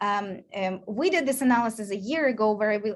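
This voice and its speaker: The pace here is moderate. The speaker is a woman. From Ukraine or Russian-speaking region. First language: Ukrainian and Russian. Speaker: research scientist. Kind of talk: lecture. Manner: hesitant, many fillers.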